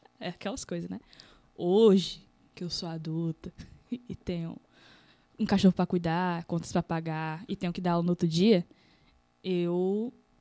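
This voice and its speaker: On a very clean recording with a silent background and a dry, close sound with no echo, a woman speaks at a moderate pace in a dark, mellow tone, fairly low in pitch, with fairly even intonation and long, frequent pauses. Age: 20s. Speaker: graffiti artist and teacher. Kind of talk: casual chat. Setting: live-streamed studio podcast.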